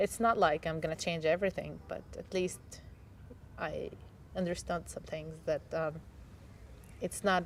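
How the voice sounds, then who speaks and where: A woman speaks at a moderate pace with an Arabic accent. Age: 20s. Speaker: English teacher. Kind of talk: personal testimony interview. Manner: halting, with fillers and self-corrections.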